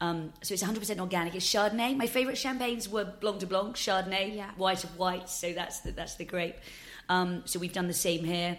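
A woman's ordinary speaking voice, medium in pitch, at a fairly quick pace with fairly even intonation. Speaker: drinks company founder. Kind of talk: interview.

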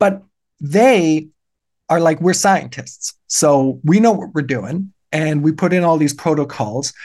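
A man talks at a very slow pace with lively intonation and a fairly high pitch. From Germany. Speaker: political science professor. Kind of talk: casual interview. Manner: articulate, fluent.

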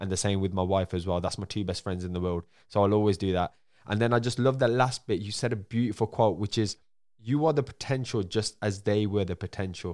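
Dry and close with no echo, a man with a Birmingham accent talks at a fairly quick pace. His pitch is fairly low, with ordinary pitch variation. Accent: Birmingham (Brummie) English. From Birmingham, England. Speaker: podcast host. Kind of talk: interview. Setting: remote call. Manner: fast talker; stumbles over words.

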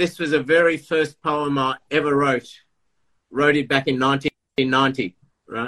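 Recorded with a dry, close sound and no echo, a man with an Australian accent has a bright, sharp tone, a fairly high pitch and fairly even intonation. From Melbourne, Australia. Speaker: poet and author.

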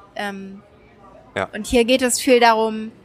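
Music plays in the background. Over it, a woman speaks with a fairly high pitch and fairly even intonation. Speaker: journalist and correspondent. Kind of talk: interview. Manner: hesitant, many fillers.

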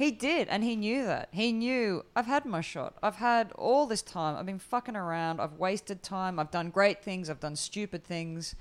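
Speaking at a moderate pace in an Australian accent, a woman with a medium pitch and lively intonation is heard on a very clean recording with a silent background. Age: 40s. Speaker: comedian. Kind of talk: casual chat.

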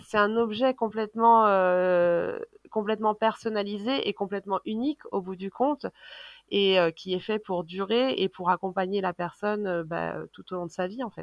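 Using a normal speaking voice, a woman talks at a moderate pace and a medium pitch with ordinary pitch variation. Her loudness swings widely. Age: 30s. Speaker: business founder. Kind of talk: casual interview.

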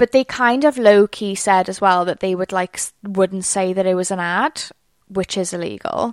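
With a Welsh accent, a woman speaks with ordinary pitch variation on a very clean recording with a silent background. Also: medium pitch for a woman, moderate pace, dry, close sound with no echo. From Wales. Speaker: PR podcast host. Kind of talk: solo podcast monologue, casual. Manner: chatty, conversational.

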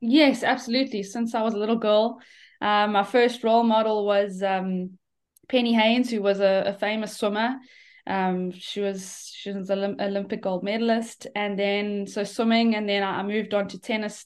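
At a moderate pace, a woman talks at a medium pitch with monotone, flat intonation over a quiet background. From South Africa. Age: 30s. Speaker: professional golfer. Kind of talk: interview. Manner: halting, many fillers.

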